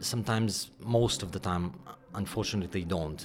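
Here a man speaks with a Ukrainian accent. His pace is moderate and his pitch varies in an ordinary way. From Ukraine. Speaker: orchestra conductor. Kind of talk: interview. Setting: dressing room. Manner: halting.

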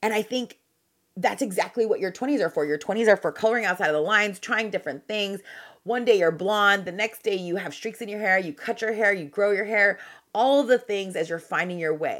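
On a very clean recording with a silent background, a woman uses an ordinary speaking voice. Her pitch is medium with ordinary variation, and her pace is fairly quick. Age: 40s. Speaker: podcast host. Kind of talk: solo monologue. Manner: conversational.

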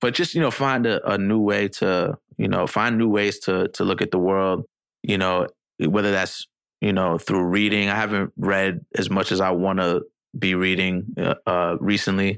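A man's fairly low voice with a New York accent, at very even loudness, over a quiet background. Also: fairly even intonation, moderate pace, dry, close sound with no echo. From New York City. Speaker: rapper. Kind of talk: casual chat.

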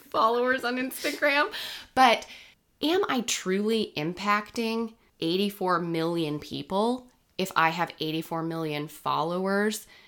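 A woman with an unremarkable speaking voice talks at a fairly slow pace and medium pitch with lively intonation, in a very clean recording with a silent background. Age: 30s. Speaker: podcast host. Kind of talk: casual chat.

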